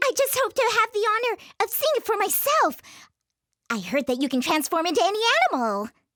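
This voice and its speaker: In a put-on character voice, the speaker goes at a fairly quick pace with extremely high pitch, very wide pitch swings, and long, frequent pauses. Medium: read story. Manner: confident, persuasive.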